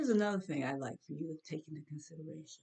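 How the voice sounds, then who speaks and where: With an animated tone, a woman speaks in a very deep, low pitch, somewhat breathy and with ordinary pitch variation. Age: 70s. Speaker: opinion vlogger. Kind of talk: opinion monologue.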